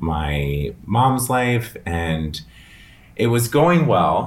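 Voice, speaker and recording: A man with an American accent speaks at a very slow pace, his pitch varying in an ordinary way. Noticeable background noise and audible room echo fill the recording. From Northern Virginia, US. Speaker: hairstylist and salon owner. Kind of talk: casual interview.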